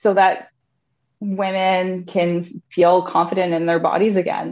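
A woman speaks with a Canadian accent at a medium pitch. Her intonation stays fairly even. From Canada, Thunder Bay, Ontario. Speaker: core and pelvic floor fitness specialist. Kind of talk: casual interview.

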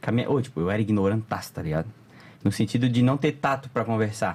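A man speaks at a fairly quick pace with lively intonation, on a very clean recording with a silent background. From Florianópolis area, Santa Catarina, Brazil. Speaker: content creator. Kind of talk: casual chat.

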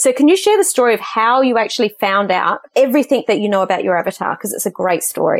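With an Australian accent, a woman talks very fast at a fairly high pitch, her voice swinging very widely up and down. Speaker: podcast host. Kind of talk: interview.

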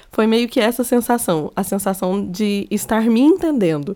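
Speaking with a Minas Gerais accent, a woman shows ordinary pitch variation. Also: very clean recording, silent background. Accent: Minas Gerais Brazilian Portuguese. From Minas Gerais, Brazil. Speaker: podcaster. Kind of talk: personal monologue. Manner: casual, conversational.

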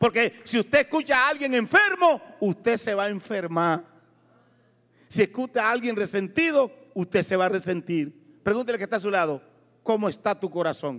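A man talks at a moderate pace with a high pitch. His tone is animated and his intonation lively. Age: 60s. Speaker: preacher. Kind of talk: sermon. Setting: church.

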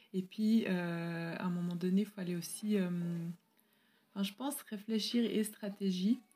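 A dark, mellow, somewhat breathy voice at a fairly slow pace, with fairly even intonation and long, frequent pauses. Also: woman, medium pitch for a woman. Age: 30s. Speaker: teacher and pastor's wife. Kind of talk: interview.

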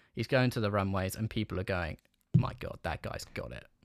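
Lively intonation from a man with a fairly low pitch. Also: dry, close sound with no echo, very clean recording, silent background. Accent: London. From London. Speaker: podcast host. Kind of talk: casual chat.

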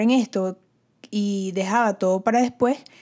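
This very clean recording has a silent background. Intonation is fairly even throughout. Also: woman. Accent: Venezuelan. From Venezuela. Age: 20s. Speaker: podcast host. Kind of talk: solo podcast monologue.

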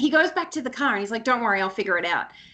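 Her voice raised and projected, a woman speaks with very wide pitch swings. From Brisbane, Queensland, Australia. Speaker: guest, speaker and mother. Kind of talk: casual interview chat.

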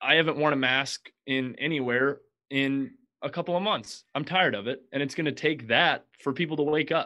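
With an unremarkable speaking voice, this man talks at a moderate pace, fairly high in pitch, with ordinary pitch variation. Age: 20s. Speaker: podcast host, guest. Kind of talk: casual chat. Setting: video call.

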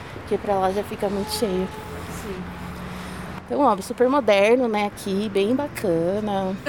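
Noticeable background noise accompanies a woman who talks at a fairly slow pace with long, frequent pauses. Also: medium pitch for a woman, ordinary pitch variation. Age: 20s. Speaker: university student and commuter. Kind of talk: interview.

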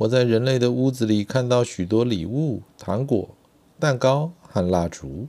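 A passage is being read aloud in a natural voice.

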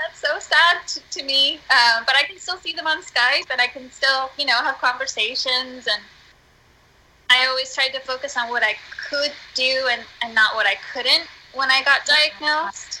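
A woman's high, raised, projected voice with an American accent, a bright, sharp tone, ordinary pitch variation and a moderate pace. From US, northeastern Pennsylvania. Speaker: musician and theater artist. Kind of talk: casual chat. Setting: Skype call. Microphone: poor sound quality.

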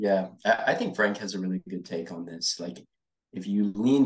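Talking at a moderate pace, a man holds his intonation fairly even. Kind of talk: casual chat.

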